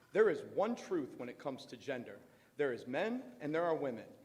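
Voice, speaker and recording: A loud man at a fairly high pitch, with very wide pitch swings and a moderate pace. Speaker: parent speaking at public comment. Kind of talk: public comment at school board meeting. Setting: school board meeting, speaking at a microphone.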